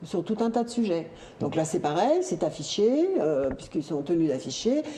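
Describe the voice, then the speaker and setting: Over noticeable background noise, a woman with a fairly low pitch speaks at a moderate pace with very wide pitch swings. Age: 60s. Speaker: local election candidate. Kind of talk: talk show discussion.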